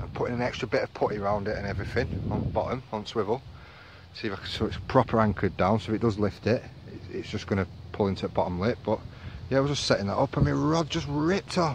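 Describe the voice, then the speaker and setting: With a northern English accent, a man speaks very fast. His fairly low voice has lively intonation. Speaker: angler vlogger. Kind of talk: casual vlog commentary. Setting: outdoors by a lake.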